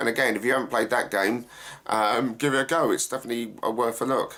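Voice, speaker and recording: A man talks with an Essex accent. His intonation stays fairly even. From England, Essex. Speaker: actor and gaming YouTuber. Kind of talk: Q&A vlog, casual talk to camera. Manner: hesitant, many fillers.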